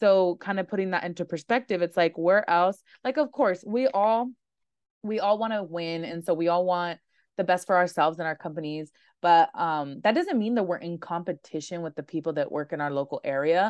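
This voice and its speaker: In a normal speaking voice, a woman with a fairly low pitch talks at a fairly quick pace with ordinary pitch variation, her sound dry and close with no echo against a quiet background. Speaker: podcast host and lash trainer. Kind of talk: casual interview chat.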